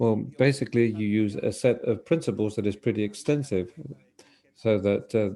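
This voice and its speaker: Speaking at a moderate pace, a man uses a fairly low voice with a dark, mellow tone and ordinary pitch variation. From Argentina. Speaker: tech conference speaker, engineering team lead. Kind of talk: conference talk. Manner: hesitant, many fillers.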